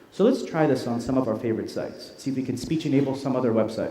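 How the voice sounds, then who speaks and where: Through audible room echo and noticeable background noise, a man speaks at a very fast pace. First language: Arabic. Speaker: tech company product presenter. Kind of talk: live product demo presentation. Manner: casual, conversational; loud.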